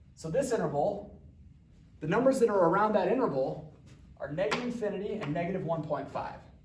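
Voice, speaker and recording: Lively intonation from a high-pitched man at a very fast pace, with audible room echo. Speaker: math teacher. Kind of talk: tutorial. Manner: casual.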